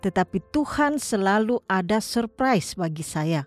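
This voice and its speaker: The pitch swings very widely at a fairly slow pace, in a German accent. Music plays in the background, and the sound is dry and close with no echo. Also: woman. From Germany, Münster diocese area (Westphalia). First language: German (speaking Indonesian). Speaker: missionary. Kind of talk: personal testimony narration.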